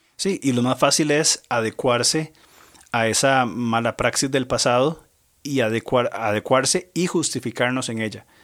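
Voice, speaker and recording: With an ordinary speaking voice, a man talks fairly slowly at medium pitch with ordinary pitch variation, recorded very cleanly against a silent background. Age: 40s. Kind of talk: religious discussion on family and Bible.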